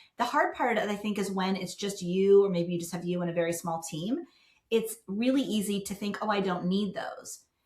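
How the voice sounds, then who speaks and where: A woman at a moderate pace, with an ordinary speaking voice, medium pitch and ordinary pitch variation. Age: 60s. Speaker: business founder, professional organizer. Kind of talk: podcast interview.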